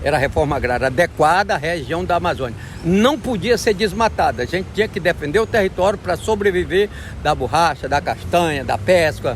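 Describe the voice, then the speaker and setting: A man's high voice at a fairly quick pace, with lively intonation. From Acre, Brazil. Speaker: rubber tapper and forest defender. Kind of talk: interview answer.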